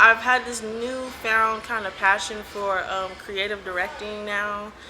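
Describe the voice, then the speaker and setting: A woman with a Los Angeles accent speaks at a fairly high pitch with fairly even intonation and big swings in loudness. Audible room echo and noticeable background noise surround her voice. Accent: Los Angeles accent, drawn-out. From Los Angeles, Compton. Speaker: community organizer. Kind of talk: interview. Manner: casual, hesitant with fillers.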